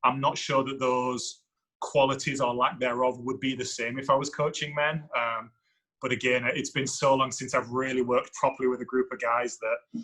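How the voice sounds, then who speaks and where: With an English accent, a man speaks at a moderate pace and medium pitch, his tone bright and sharp and his intonation monotone and flat. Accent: English accent in the US. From England. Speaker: university soccer coach. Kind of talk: podcast interview. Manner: halting, repetitive.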